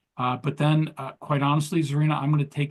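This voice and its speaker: A somewhat breathy, fairly high voice from a man. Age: 60s. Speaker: entrepreneur and leadership coach. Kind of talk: interview. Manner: hesitant, many fillers.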